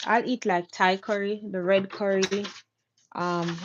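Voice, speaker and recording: Speaking in a Jamaican accent, a woman talks at a medium pitch and a very slow pace. Her intonation is flat and monotone. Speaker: craft business owner. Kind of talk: casual chat during a craft livestream. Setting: YouTube live stream.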